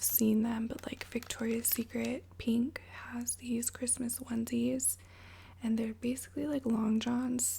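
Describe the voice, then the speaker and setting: Noticeable background noise surrounds a soft-spoken woman. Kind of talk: ASMR story time. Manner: casual, chatty.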